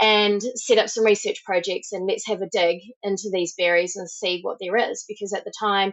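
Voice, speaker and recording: Amid noticeable background noise, a woman with a New Zealand accent speaks at a fairly high pitch with ordinary pitch variation. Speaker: supplement company founder, former sports journalist. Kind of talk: podcast interview.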